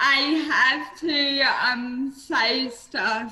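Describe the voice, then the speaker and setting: Over noticeable background noise, a woman with an Australian accent speaks very slowly in a high voice. Her voice is raised and projected. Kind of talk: webinar presentation.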